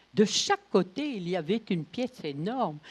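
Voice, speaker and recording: A woman with a medium pitch speaks with very wide pitch swings. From northern France. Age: 80s+. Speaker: Holocaust survivant and witness. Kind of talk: testimony talk to schoolchildren.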